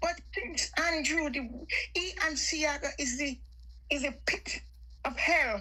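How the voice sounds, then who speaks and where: A woman speaks in a raised, projected voice at a high pitch over noticeable background noise. Her pace is very slow, with long, frequent pauses. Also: ordinary pitch variation. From Jamaica. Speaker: caller on live stream. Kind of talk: heated political chat.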